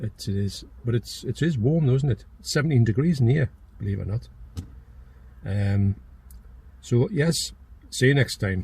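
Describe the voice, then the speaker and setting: In a Geordie accent, a man speaks at a moderate pace and medium pitch, his tone dark and mellow, somewhat breathy, with lively intonation and long, frequent pauses. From northeast England (Geordie). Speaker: YouTuber, channel owner. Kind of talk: casual chat. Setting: in a car.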